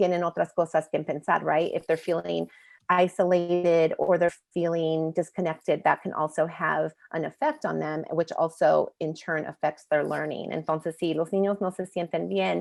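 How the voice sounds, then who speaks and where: Recorded with a dry, close sound and no echo against a quiet background, a woman speaks at a moderate pace. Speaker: presenter from a media education nonprofit. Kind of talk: bilingual webinar presentation. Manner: switches between English and Spanish.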